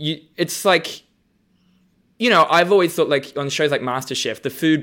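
A man with an Australian accent has a bright, sharp tone and lively intonation at a moderate pace. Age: 30s. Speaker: comedian and drag show judge. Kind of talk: casual chat.

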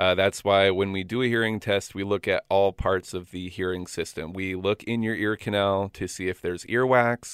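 A man with an American accent talks at a moderate pace with hardly any pauses and fairly even intonation in a normal speaking voice. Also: fairly low pitch for a man. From Florida. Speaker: audiologist. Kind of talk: radio interview. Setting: studio.

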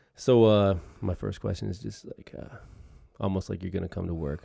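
A man with a very deep, low voice speaks in a dark, mellow tone with vocal fry. His intonation is lively and his pace moderate. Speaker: podcast host. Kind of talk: casual interview chat.

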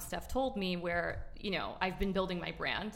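A woman speaks at a medium pitch and a moderate pace, with vocal fry. Audible room echo surrounds her. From Miami. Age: 30s. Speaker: social media influencer. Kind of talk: casual chat. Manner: animated.

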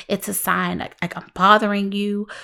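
A woman's animated voice at medium pitch, in a very clean recording with a silent background. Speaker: podcast host and helping-professions consultant. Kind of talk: solo podcast talk. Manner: loud.

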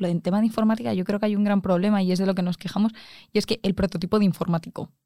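Speaking at a very fast pace, a woman has a medium-pitched voice with a dark, mellow tone and ordinary pitch variation. The recording is very clean and silent, with a dry, close sound and no echo. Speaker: engineering student. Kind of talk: casual chat.

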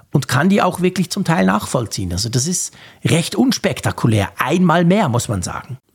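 A man with a fairly high pitch, very wide pitch swings, vocal fry and a moderate pace. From Switzerland. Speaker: podcast host. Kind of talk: casual chat.

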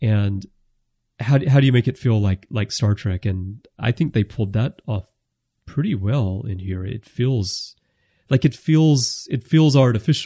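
A man with an American accent, somewhat breathy and dark, mellow in tone, at medium pitch and a fairly slow pace, with ordinary pitch variation and a dry, close sound with no echo against a quiet background. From United States. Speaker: podcast host. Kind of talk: casual chat.

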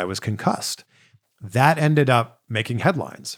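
A man's ordinary speaking voice at medium pitch, fairly quick pace and lively intonation, on a very clean recording with a silent background. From Canada, Greater Toronto Area. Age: 40s. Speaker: podcast host and interviewer. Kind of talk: casual solo Q&A chat.

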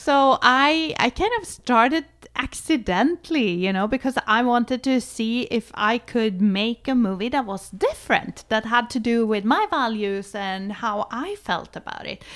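A woman with a Swedish accent, lively intonation and hardly any pauses. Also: fairly high pitch for a woman, fairly slow pace. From Sweden. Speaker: adult film director. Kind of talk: interview.

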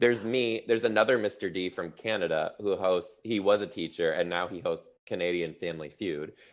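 Fairly low in pitch, a man with an American accent talks at a fairly quick pace with ordinary pitch variation. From Detroit, Michigan, US Midwest. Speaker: teacher turned stand-up comedian. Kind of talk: casual interview chat. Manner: animated, chatty.

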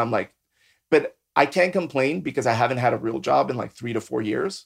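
A man speaks at a very fast pace, his pitch in the medium range with ordinary variation. The recording is very clean, with a silent background. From San Diego, California (born in Mexico, moved at about six). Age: 40s. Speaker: MMA and bare knuckle fighter, artist, drag performer. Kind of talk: casual chat.

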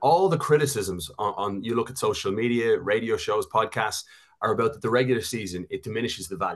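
A very fast-talking man. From Canada. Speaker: soccer broadcaster and analyst. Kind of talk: casual chat, sports analysis.

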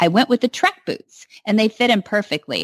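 In an American accent, a woman uses a plain, everyday voice at a fairly quick pace with lively intonation, the sound dry and close with no echo against a quiet background. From California. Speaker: radio host. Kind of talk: interview.

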